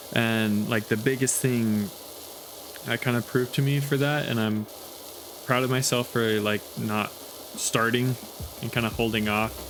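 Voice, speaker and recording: Mumbling at a moderate pace, a man speaks at medium pitch with fairly even intonation. He takes long, frequent pauses over noticeable background noise. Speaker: YouTuber. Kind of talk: casual chat. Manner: halting.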